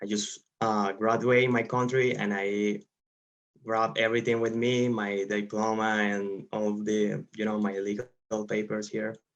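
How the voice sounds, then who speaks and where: Speaking in a Spanish accent, a man talks at a moderate pace with a fairly low pitch and monotone, flat intonation. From Venezuela. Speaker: engineer. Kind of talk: interview. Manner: halting, many fillers.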